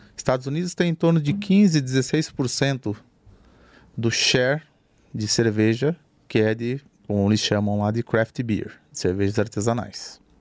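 A man of medium pitch in an interior Brazilian accent, fairly slow with lively intonation and long, frequent pauses. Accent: rolled interior Brazilian R's. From interior of Brazil. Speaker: craft brewery founder. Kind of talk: casual chat.

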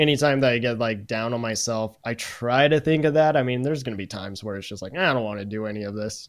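An ordinary speaking voice from a man at a medium pitch, fairly quick in pace, with ordinary pitch variation and big swings in loudness. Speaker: content creator and streamer. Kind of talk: casual chat.

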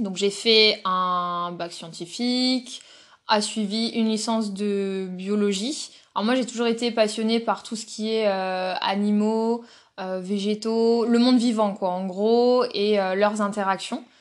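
A woman talks at a very slow pace, her intonation fairly even. The recording is very clean, with a silent background. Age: 20s. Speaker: zookeeper. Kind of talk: interview. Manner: halting.

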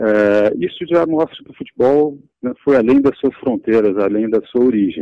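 A man with a plain, everyday voice speaks at a moderate pace and medium pitch, with lively intonation and very even loudness. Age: 40s. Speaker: branding consultancy executive. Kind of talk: interview.

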